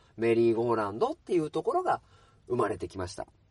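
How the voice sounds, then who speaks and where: A man talks in a relaxed tone. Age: 30s. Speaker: podcast host, bookstore worker. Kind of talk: casual solo talk. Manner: relaxed, many filler words.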